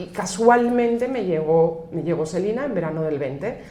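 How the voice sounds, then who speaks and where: A woman speaks with lively intonation at a moderate pace. Noticeable background noise and audible room echo surround her. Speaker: finance executive. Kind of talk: podcast interview. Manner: hesitant, many fillers and restarts.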